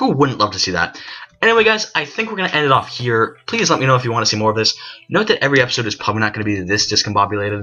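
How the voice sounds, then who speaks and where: A man talks at a very fast pace in a medium pitch with lively intonation. Music plays in the background. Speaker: gaming YouTuber. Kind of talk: let's play commentary.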